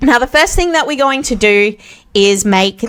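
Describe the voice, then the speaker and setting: A female speaker with an Australian accent. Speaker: web development tutorial creator. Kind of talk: tutorial. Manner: casual with frequent fillers.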